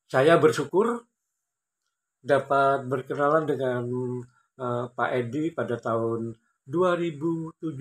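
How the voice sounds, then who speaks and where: Speaking at a very slow pace with long, frequent pauses, a man uses a fairly high pitch and ordinary pitch variation. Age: 50s. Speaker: amateur table tennis player and YouTuber; YouTuber. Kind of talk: personal storytelling vlog. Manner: formal. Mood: calm, grateful storytelling. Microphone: phone near.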